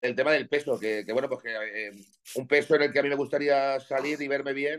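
At medium pitch, a man talks with fairly even intonation. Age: 40s. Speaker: professional bodybuilder and gym owner. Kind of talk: casual interview chat.

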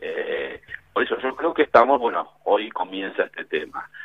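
A man speaks at a fairly slow pace. Noticeable background noise sits behind him. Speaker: business executive. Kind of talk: radio interview.

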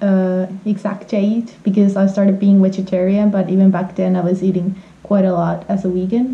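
With a Finnish accent, a woman of medium pitch speaks at a moderate pace against noticeable background noise. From Finland. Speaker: vegan traveler. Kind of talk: casual interview.

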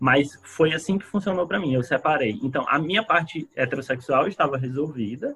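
With hardly any pauses, a man talks at a fairly quick pace in a fairly high pitch, with a bright, sharp tone and lively intonation. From Ceará, northeastern Brazil (Fortaleza). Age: 20s. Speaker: psychology student and psychoanalyst. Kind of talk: casual chat.

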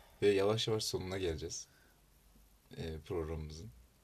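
Somewhat breathy, the man's voice shows ordinary pitch variation. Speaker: university student club podcast host. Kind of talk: casual chat.

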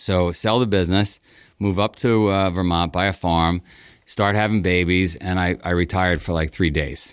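A man with a New York accent speaks at a very deep, low pitch. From Queens, New York. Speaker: race company founder. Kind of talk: storytelling interview.

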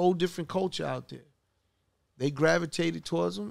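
This man's voice sits high in pitch. He talks fairly quickly. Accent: New York. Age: 50s. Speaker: podcast host and music executive. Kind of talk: casual interview.

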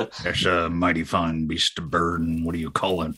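A man puts on a character voice with a very deep, low pitch and monotone, flat intonation. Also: moderate pace. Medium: actual play. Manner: folksy, simple grammar, talks about himself in the third person.

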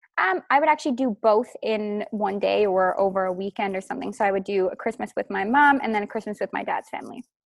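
Dry and close with no echo, a woman's medium-pitched voice races along at a very fast pace with hardly any pauses. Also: ordinary pitch variation. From Newfoundland, Canada. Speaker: lash artist and business owner. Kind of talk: interview.

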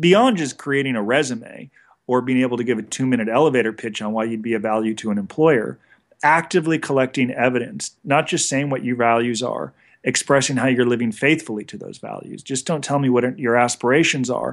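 A man speaks with a Californian accent at a fairly quick pace. His medium-pitched voice shows ordinary pitch variation. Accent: General American (Californian). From Los Angeles area, California. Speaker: federal prison consultant. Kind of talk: interview.

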